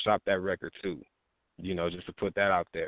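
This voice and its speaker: Delivered at a fairly quick pace, the speech comes in an American accent. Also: man. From Texas. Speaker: rapper. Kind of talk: casual interview. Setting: online radio show.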